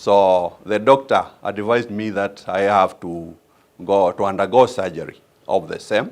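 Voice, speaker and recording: In a quiet background, a man speaks in a fairly low voice with a Kenyan accent. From Kenya, Machakos County. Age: 60s. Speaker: patient giving testimonial. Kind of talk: testimony. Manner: halting, many fillers.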